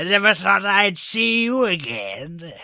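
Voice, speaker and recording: A man puts on a character voice, pitched high for a man, with lively intonation at a fairly slow pace. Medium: actual play.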